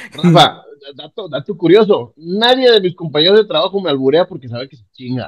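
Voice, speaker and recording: Talking at a fairly quick pace, a man with a high-pitched voice sounds animated, his intonation lively and his loudness swinging widely. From Panama, then northern Mexico. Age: 40s. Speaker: podcast guest. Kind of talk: casual chat.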